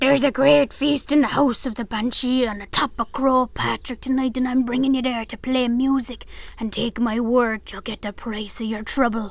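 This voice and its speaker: At a moderate pace, a female-sounding voice uses a high pitch in a put-on character voice. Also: hardly any pauses. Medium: read story. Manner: gruff, commanding.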